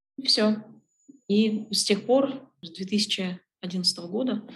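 A woman's fairly high-pitched, somewhat breathy voice. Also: long, frequent pauses. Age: 30s. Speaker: logistics executive. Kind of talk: interview.

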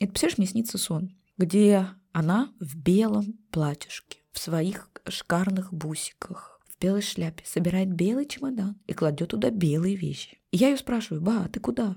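A woman's somewhat breathy voice at medium pitch, dark and mellow in tone, with lively intonation. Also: fairly slow pace. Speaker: genealogy and family-history psychologist. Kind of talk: emotional podcast interview.

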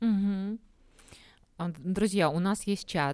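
The woman's voice carries a dark, mellow tone. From Belarus, Minsk. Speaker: podcast host. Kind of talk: interview. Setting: live broadcast.

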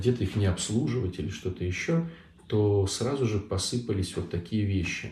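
A man speaks at a moderate pace in a dark, mellow tone that is somewhat breathy. His pitch variation is ordinary. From Saint Petersburg, Russia. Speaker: Orthodox priest. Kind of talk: live online Q&A talk. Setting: online livestream.

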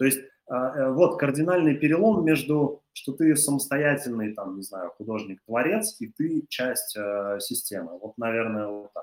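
A man speaks at a fairly slow pace in a fairly high pitch. His pitch swings very widely and his loudness swings a lot too. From Russia, Chuvashia (Cheboksary). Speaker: creative industries entrepreneur. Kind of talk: interview. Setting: studio. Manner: halting, many fillers.

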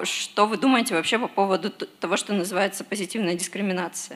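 A woman with a plain, everyday voice talks at medium pitch and a moderate pace, with ordinary pitch variation. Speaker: audience member. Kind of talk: question from audience. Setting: stage with audience.

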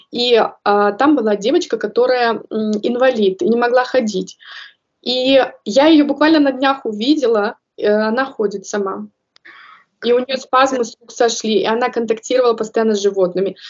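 Using long, frequent pauses, a woman talks at a moderate pace with a fairly high pitch and ordinary pitch variation. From Kazakhstan. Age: 30s. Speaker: early childhood educator. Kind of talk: interview.

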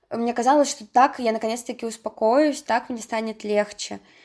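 A woman with a fairly high pitch talks at a moderate pace. She uses an unremarkable speaking voice with fairly even intonation. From Russia, Saint Petersburg. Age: 20s. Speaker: university student sharing depression story. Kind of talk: personal testimony.

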